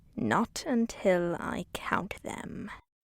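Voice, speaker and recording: A whispered, put-on character voice. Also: woman. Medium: read story. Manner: sneering, menacing.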